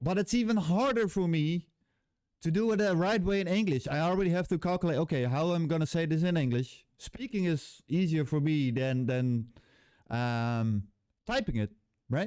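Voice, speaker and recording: A high-pitched man with a Dutch accent, very wide pitch swings, very even loudness and a moderate pace, in a very clean recording with a silent background. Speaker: game developer, YouTuber. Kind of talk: casual vlog rant. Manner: halting.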